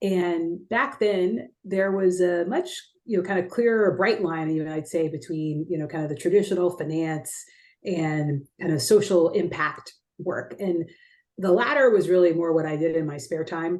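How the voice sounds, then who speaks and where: A woman uses a normal speaking voice at a fairly low pitch. She keeps a moderate pace with ordinary pitch variation. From Texas, San Antonio. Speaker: investment executive. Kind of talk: interview. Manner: many fillers and repetitions.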